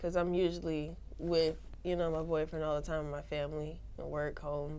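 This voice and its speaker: Amid audible room echo, a woman with a very deep, low pitch speaks at a moderate pace. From Savannah, Georgia (US South). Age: 20s. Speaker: rapper. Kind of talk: interview. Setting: studio.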